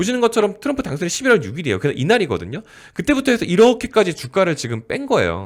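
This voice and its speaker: Words pour out at a very rapid rate. The man's pitch leaps up and down enormously. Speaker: stock market YouTuber. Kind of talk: market commentary. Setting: recording at a microphone. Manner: conversational, filler-heavy.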